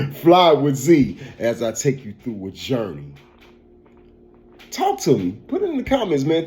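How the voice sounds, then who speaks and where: A man with an American accent speaks at a moderate pace in a fairly high, somewhat breathy voice, his pitch swinging very widely. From US Midwest, St. Louis, Missouri. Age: 40s. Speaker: podcast host and barber. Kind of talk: casual commentary podcast. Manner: animated; repetitive, stammering restarts.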